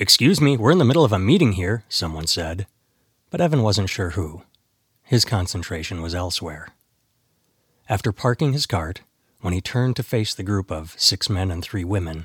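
A man speaks in a very deep, low, somewhat breathy voice with lively intonation and long, frequent pauses. The recording is very clean, with a silent background. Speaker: audiobook author-narrator. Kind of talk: audiobook narration of thriller prologue, after a casual intro.

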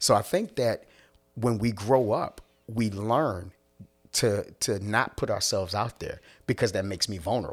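On a very clean recording with a silent background, a man with an American accent speaks at a moderate pace. His medium-pitched voice is an unremarkable speaking voice. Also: ordinary pitch variation. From US, Philadelphia. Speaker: minister and certified coach. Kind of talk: casual chat.

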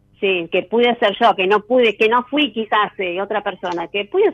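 A woman with a normal speaking voice talks at a fairly slow pace. Her pitch is medium, with ordinary variation. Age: 40s. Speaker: caller. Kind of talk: casual chat.

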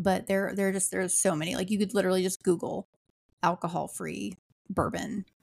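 A woman with an ordinary speaking voice at a medium pitch and fairly even intonation is heard on a very clean, dry, close recording with a silent background and no echo. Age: 40s. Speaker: podcast host. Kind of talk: casual chat.

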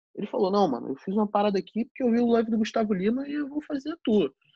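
A man with a Rio de Janeiro accent speaks in a dark, mellow tone with very wide pitch swings. The sound is dry and close with no echo, over a quiet background. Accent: Carioca Brazilian Portuguese. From Rio de Janeiro, Zona Norte. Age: 20s. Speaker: DJ. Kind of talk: casual chat.

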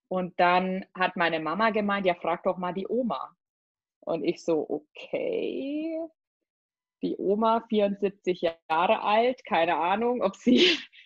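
Here a woman speaks at a medium pitch with lively intonation. She goes at a very slow pace. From Germany, Spessart (Lower Franconia). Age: 30s. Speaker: personal trainer and nutrition coach. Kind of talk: casual interview chat.

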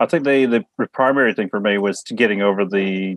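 With a rural New Zealand accent, a man speaks at a fairly low pitch with fairly even intonation. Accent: New Zealand with country twang. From Samoa and New Zealand. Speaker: guest. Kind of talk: casual chat.

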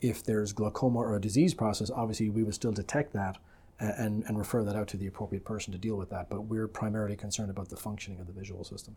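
A man with an Irish accent, fairly low-pitched and somewhat breathy, dark and mellow in tone, with fairly even intonation at a very fast pace. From Republic of Ireland. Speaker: optometrist. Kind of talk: interview.

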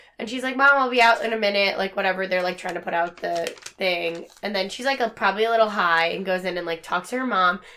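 A woman speaks at medium pitch and a very fast pace with hardly any pauses, her pitch varying in an ordinary way over noticeable background noise. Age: 20s. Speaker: podcast co-host. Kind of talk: casual chat. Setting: at home in front of a TV.

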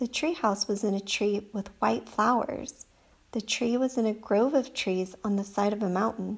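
A natural voice reads the words aloud.

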